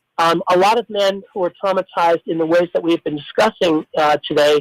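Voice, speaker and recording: At a moderate pace, a man with an American accent talks in a dry, close sound with no echo. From US Midwest, Belleville Illinois. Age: 60s. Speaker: retired English professor. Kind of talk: radio interview. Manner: halting, many fillers and restarts.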